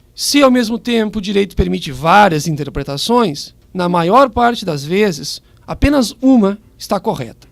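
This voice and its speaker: In a southern Brazilian accent, a man speaks at a moderate pace, his high pitch swinging very widely. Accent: gaúcho. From southern Brazil (Rio Grande do Sul). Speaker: public prosecutor. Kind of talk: radio interview, explaining the law. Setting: radio studio, live. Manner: formal.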